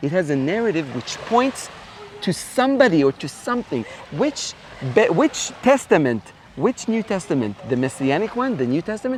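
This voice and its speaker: Noticeable background noise sits behind a man with an Israeli accent. His high voice moves at a moderate pace and swings very widely in pitch. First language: Hebrew. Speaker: Bible professor. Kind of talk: interview answer.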